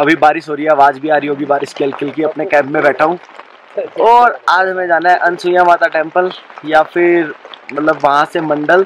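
A man speaks at a moderate pace with fairly even intonation. The sound is dry with no echo, over light background noise. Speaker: travel vlogger. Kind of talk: casual vlog chat. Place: tent. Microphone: phone near.

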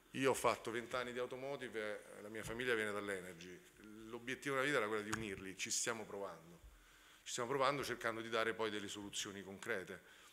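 Light background noise sits behind a man talking at a very fast pace in a bright, sharp tone. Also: fairly even intonation. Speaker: startup representative; panelist. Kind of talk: conference talk. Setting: stage with audience. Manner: halting. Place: hall. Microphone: podium.

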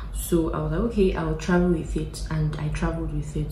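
Light background noise behind a woman speaking at a moderate pace, with audible room echo. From Nigeria. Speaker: YouTuber vlogger. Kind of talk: casual Q&A vlog. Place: home room. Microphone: phone near.

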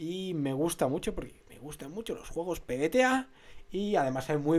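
A man speaks at a moderate pace. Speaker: tabletop game vlogger. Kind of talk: casual vlog chat. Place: home room. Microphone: studio mic.

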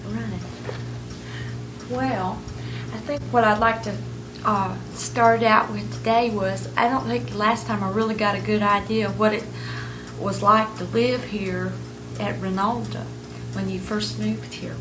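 Speech comes at a fairly slow pace with long, frequent pauses, and noticeable background noise runs underneath. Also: woman. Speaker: oral history interviewer. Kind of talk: interview questions. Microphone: old recording.

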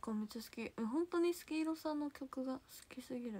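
In a Kansai accent, a woman talks at a fairly quick pace with a high pitch. Her tone is animated and her intonation lively. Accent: Kansai (Osaka) dialect. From Osaka, Japan. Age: 20s. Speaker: idol livestreamer. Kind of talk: casual livestream chat reading viewer comments. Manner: animated, frequent laughter. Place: home room. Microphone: phone near.

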